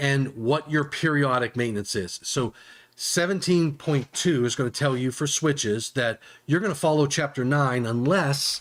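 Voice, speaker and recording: Here a man speaks at a fairly slow pace. His pitch is fairly high, with ordinary variation. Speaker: electrical safety presenter. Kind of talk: live webinar tutorial. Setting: live stream. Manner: halting, repeats words.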